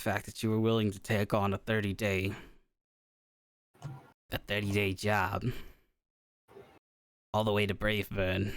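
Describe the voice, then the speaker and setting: In a put-on character voice, raspy and monotone, the speaker keeps a moderate pace broken by long, frequent pauses. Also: man, fairly low pitch for a man. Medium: actual play. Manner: halting, rambling.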